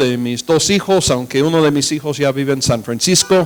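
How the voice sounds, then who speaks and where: Pitch variation here is ordinary. The voice carries an American accent. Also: man. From United States. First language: English (speaking Spanish). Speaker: pastor and missionary. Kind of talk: sermon. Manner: halting, with fillers.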